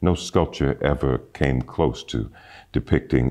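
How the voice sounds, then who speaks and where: At a fairly slow pace, a man speaks with vocal fry and a very deep, low pitch. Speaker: voice actor. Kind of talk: interview answer.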